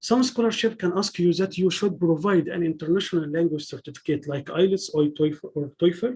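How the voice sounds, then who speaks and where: A man's high voice with a dark, mellow tone, lively intonation and an Arabic accent. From Egypt. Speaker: PhD student giving a talk. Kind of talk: lecture. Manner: halting, with frequent restarts.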